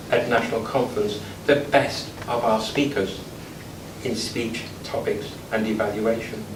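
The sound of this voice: A man speaks at a slow pace with ordinary pitch variation. The room has an audible echo.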